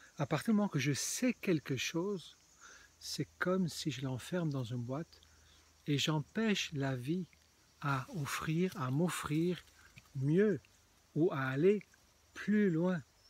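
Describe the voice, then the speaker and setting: A man's fairly high-pitched voice at a very slow pace, broken by long, frequent pauses. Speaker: spiritual video blogger. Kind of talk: casual vlog monologue. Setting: outdoors in a small forest. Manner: halting.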